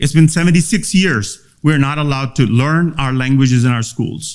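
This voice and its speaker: In a Pakistani accent, a man speaks with a fairly high pitch. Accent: South Asian (Balti) English. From Gilgit-Baltistan, Pakistan. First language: Tibetan. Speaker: activist speaker. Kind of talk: seminar speech. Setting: conference room with audience. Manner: halting.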